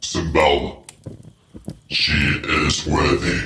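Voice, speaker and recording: A man growls in a put-on character voice at a very deep, low pitch, with a slight echo around him. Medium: audio drama. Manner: terse, commanding.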